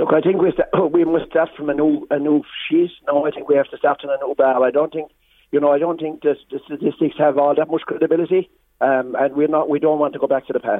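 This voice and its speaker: This man talks at a very fast pace in a rural Irish accent. His pitch is fairly high and his intonation fairly even. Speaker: farmers' representative. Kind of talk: radio interview. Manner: halting, repetitive.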